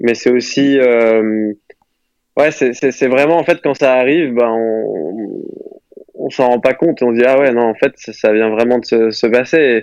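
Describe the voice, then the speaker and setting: Taking a fairly slow pace, a man talks at a medium pitch with ordinary pitch variation. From Moselle, north-eastern France. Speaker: professional golfer. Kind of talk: interview. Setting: phone call. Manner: halting.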